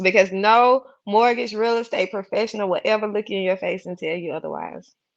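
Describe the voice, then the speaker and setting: This woman talks at a fairly quick pace in a Southern US accent. Her pitch sits fairly high. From US South, Mobile, Alabama. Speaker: author and real estate professional. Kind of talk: casual interview. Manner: animated.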